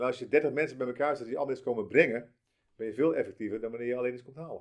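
A man talks at a very fast pace. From South Holland, near Rotterdam. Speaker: franchise founder. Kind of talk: interview. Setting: office.

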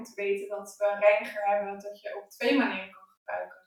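The woman's pitch is fairly high. Her voice carries audible room echo. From Netherlands. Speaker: skin therapist. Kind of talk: casual conversational interview. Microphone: poorly set mic, harder to understand.

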